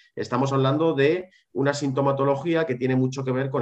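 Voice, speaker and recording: A man with a medium-pitched voice talks at a very fast pace over a quiet background. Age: 30s. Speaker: psychologist specializing in ADHD. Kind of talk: interview.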